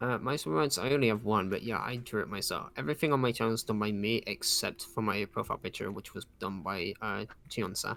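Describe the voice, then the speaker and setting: A man talks at a very fast pace with hardly any pauses, his pitch fairly low and his tone bright and sharp. The recording is very clean, with a silent background. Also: ordinary pitch variation. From UK. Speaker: streamer. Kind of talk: casual chat.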